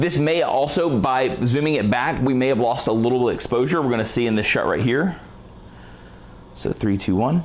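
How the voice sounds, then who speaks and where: Speaking in an energetic tone at a moderate pace, a man keeps his loudness very even while his pitch varies in an ordinary way. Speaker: photography lighting presenter; presenter. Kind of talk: live tutorial. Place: studio.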